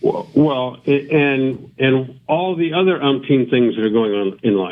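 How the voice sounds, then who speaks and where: A man's medium-pitched voice moves at a fairly slow pace, its pitch varying in an ordinary way. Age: 60s. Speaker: former NFL quarterback. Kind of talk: interview. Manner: halting, many fillers.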